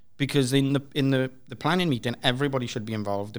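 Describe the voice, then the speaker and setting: At a very fast pace, a man speaks in a Welsh accent with ordinary pitch variation. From Wales (Swansea). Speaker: developer evangelist. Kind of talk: panel discussion. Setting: stage with audience.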